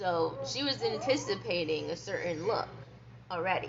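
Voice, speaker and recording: A soft-spoken voice with audible room echo and noticeable background noise. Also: woman. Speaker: vlogger. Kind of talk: casual monologue vlog.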